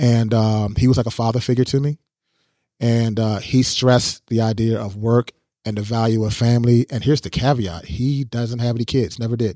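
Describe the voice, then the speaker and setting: In an American accent, a man with a medium-pitched, dark and mellow tone speaks at a moderate pace with fairly even intonation, on a very clean recording with a silent background. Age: 40s. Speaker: photographer. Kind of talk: casual interview. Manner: halting with many fillers.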